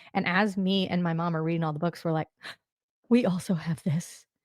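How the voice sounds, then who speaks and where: A woman with a plain, everyday voice and fairly low pitch talks at a fairly quick pace. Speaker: podcast host. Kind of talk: podcast interview.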